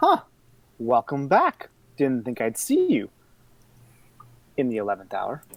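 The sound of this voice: Cackling in a put-on character voice, a man speaks at a medium pitch and a fairly slow pace with long, frequent pauses.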